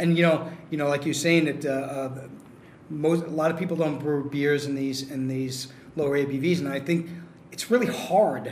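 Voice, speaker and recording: A man with a New York accent talks at a moderate pace with ordinary pitch variation over noticeable background noise. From New York City. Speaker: brewery co-founder. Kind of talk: casual chat. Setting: brewery tap room, remote mic.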